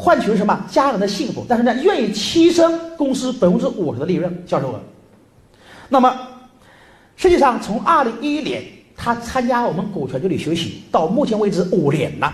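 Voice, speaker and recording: The speaker has a strong northern Jiangsu accent and a moderate pace. Background noise is noticeable. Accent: strong northern Jiangsu accent in Mandarin. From northern Jiangsu, Lianyungang. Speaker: business trainer. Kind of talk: seminar lecture.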